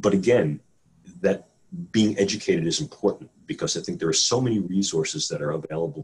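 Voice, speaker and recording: Fairly low-pitched and fairly quick, a man with an American accent talks with very wide pitch swings. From New York City. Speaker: neuroscientist and professor. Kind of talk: interview. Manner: articulate with frequent fillers and repetitions.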